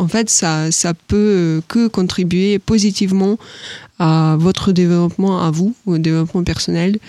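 A woman speaks at a fairly slow pace with a medium pitch and fairly even intonation. Her loudness stays very even. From Ukraine. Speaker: agri-business professional, alumna. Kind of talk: interview. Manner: hesitant, many fillers.

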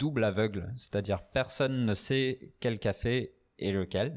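On a very clean recording with a silent background, a man with an English accent speaks at a very slow pace. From northern England, Newcastle. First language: English (speaking French). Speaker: coffee roaster and barista. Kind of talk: casual interview. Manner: halting, many fillers and repetitions.

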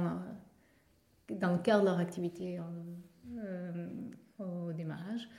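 A woman speaks at a medium pitch in a monotone, flat intonation. Audible room echo surrounds her voice. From Portugal. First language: Portuguese (speaking French). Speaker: startup co-founder. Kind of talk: interview. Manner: halting, with repetitions.

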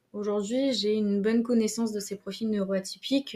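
Her voice is a normal speaking voice, with medium pitch for a woman and fairly even intonation. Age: 30s. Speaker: HR specialist and coach. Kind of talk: interview conversation.

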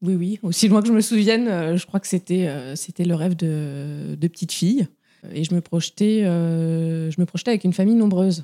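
At a moderate pace, a woman speaks in a fairly low voice with ordinary pitch variation, the sound dry and close with no echo. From France, Touraine. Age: 30s. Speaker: mother sharing her story. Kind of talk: testimony. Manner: hesitant, with fillers and repetitions.

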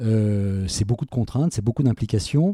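A dark, mellow tone with ordinary pitch variation in a dry, close sound with no echo. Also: man, very clean recording, silent background. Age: 60s. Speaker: self-employed communications professional, interviewee's father. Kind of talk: personal interview. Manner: halting, many repetitions and fillers.

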